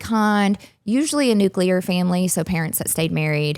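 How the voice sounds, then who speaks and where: On a very clean recording with a silent background, a woman of medium pitch speaks with an American accent at a moderate pace and ordinary pitch variation. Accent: Southern US, varies in strength. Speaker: psychologist and relationship coach. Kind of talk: interview explanation.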